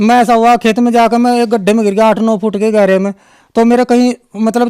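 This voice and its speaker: A high-pitched man speaks with monotone, flat intonation and very even loudness. The sound is dry and close with no echo. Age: 60s. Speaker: devotee giving testimony. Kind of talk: testimony. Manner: halting, with filler sounds.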